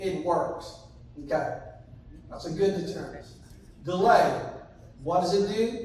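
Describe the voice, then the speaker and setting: A man speaks at a high pitch amid audible room echo. Noticeable background noise can be heard. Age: 50s. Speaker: sheriff's deputy. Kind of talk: community presentation.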